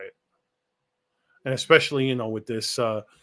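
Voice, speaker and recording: A man speaks with a New York accent. His tone is bright and sharp, and his intonation is fairly even. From New York City, Lower East Side; Puerto Rican. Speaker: political commentary show host. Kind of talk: casual chat. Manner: conversational with many fillers.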